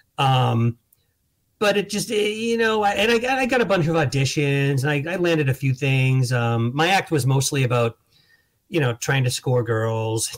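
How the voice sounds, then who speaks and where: A man speaks at a fairly slow pace in a somewhat breathy, fairly high voice. His pitch swings very widely while his loudness stays very even. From Boston area. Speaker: comedian and author. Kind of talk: casual interview. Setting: video call.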